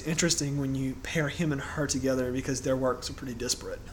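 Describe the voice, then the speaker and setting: A man speaks very fast in a fairly high voice. Noticeable background noise can be heard. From Louisiana. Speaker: podcast co-host. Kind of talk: casual chat.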